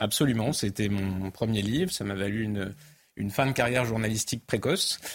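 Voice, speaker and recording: In a normal speaking voice, a man talks at a fairly quick pace. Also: fairly low pitch for a man, ordinary pitch variation. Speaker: author and immigration commentator. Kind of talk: studio debate and interview.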